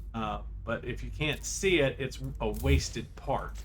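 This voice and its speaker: A man is speaking. Room echo is audible. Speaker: video game streamer. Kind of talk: gameplay commentary. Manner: halting; quiet.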